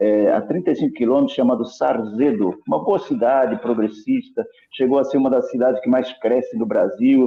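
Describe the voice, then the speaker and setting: With a São Paulo accent, a man speaks at a moderate pace in very even loudness, with hardly any pauses. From Brazil, São Paulo. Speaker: Bible prophecy speaker. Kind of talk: online discussion / talk. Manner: halting, self-correcting.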